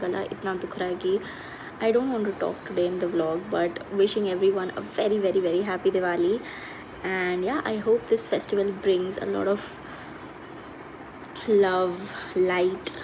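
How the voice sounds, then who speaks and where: Over noticeable background noise, a woman with a medium pitch talks at a moderate pace with fairly even intonation. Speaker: vlogger. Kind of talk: casual vlog talk. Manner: code-switching Hindi and English.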